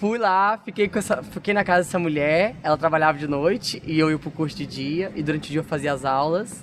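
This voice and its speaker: Using a plain, everyday voice, a man talks at a fairly quick pace and fairly high pitch with hardly any pauses. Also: ordinary pitch variation. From Brazil, Goiás (Senador Canedo, near Goiânia). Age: 30s. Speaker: dancer and dance teacher. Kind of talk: interview testimony.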